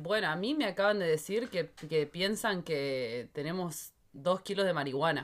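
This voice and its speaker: A woman talks at a fairly slow pace in a fairly low voice with ordinary pitch variation. It is an unremarkable speaking voice on a very clean recording with a silent background. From Argentina. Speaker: podcast co-host. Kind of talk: casual chat.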